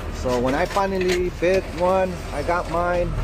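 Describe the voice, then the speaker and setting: Noticeable background noise surrounds a man's voice, which has a dry sound with no echo. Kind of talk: casual vlog chat. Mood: relaxed, chatty. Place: farm machine. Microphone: earbuds.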